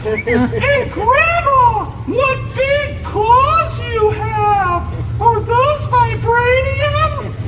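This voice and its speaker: In a squeaky, put-on character voice, a man speaks at a very slow pace. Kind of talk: comic overacting. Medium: stage play. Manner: mock-innocent, sing-song.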